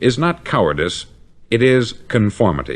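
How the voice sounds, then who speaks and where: With an American accent and vocal fry, a man at a medium pitch makes very wide pitch swings. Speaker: motivational speaker. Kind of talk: motivational spoken-word record.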